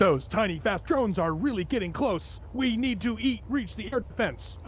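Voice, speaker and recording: Using a put-on character voice, a man speaks at a high pitch over clear background noise. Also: moderate pace. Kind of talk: cheesy, over-the-top. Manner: tense, urgent, dramatic.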